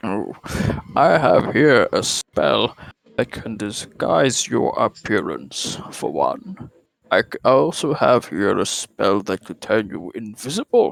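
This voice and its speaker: A man puts on a character voice. He speaks at a fairly slow pace. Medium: actual play. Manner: pompous, condescending.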